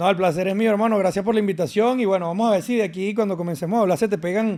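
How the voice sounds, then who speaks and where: A man talks at a very fast pace with a Venezuelan accent and a high pitch. His tone is dark and mellow, his intonation fairly even and his loudness very even. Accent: Venezuelan, kept. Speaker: fitness and nutrition influencer. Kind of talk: podcast interview.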